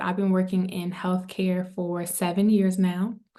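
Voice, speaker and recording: Audible room echo surrounds a woman speaking at medium pitch and a moderate pace. Her tone is dark and mellow, and her intonation stays monotone and flat. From Maryland, US (DMV area). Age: 20s. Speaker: wellness entrepreneur. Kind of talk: podcast interview.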